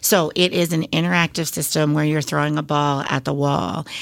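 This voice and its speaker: Speaking in an Upper Midwest accent, a woman uses a very deep, low pitch and a monotone, flat intonation at a moderate pace. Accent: Upper Midwest American. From Wisconsin, Beloit. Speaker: elementary school principal. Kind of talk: interview.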